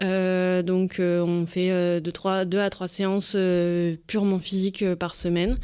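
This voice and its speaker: In a very clean recording with a silent background, a woman speaks very slowly at a medium pitch, her loudness very even and her intonation monotone and flat. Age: 20s. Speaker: visually impaired goalball athlete. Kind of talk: radio interview.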